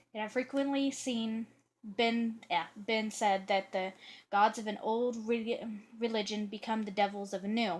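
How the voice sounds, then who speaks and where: Somewhat breathy, the voice moves at a fairly slow pace with fairly even intonation. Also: woman, fairly high pitch for a woman. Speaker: video blogger reading on witchcraft history. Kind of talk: reading aloud. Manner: halting, stumbling over words. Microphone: poor camera.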